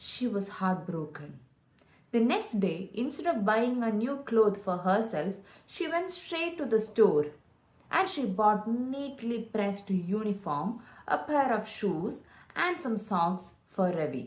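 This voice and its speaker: Somewhat breathy and fairly high-pitched, a woman speaks at a very slow pace with very wide pitch swings. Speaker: storyteller; voice-over artist. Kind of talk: children's story narration.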